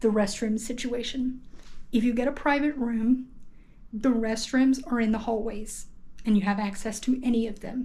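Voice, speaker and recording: Audible room echo surrounds a woman with a fairly high pitch. Her tone is dark and mellow, and somewhat breathy. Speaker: travel vlogger. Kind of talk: casual hostel tour vlog. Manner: hesitant, many fillers; speaking quietly in bathroom.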